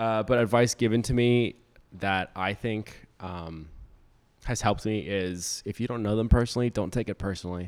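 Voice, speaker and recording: A man with an American accent and an ordinary speaking voice talks at a moderate pace, fairly low in pitch with fairly even intonation, on a very clean recording with a silent background. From Florida, West Palm Beach. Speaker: grad student. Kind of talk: casual chat.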